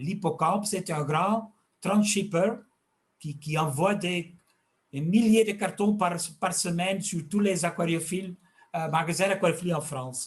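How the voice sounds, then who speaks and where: With a Flemish accent, a man talks at a fairly slow pace in a high voice, with ordinary pitch variation and long, frequent pauses. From Flanders, Belgium. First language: Dutch (speaking French). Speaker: fish health expert and fish food maker. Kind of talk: interview. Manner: halting.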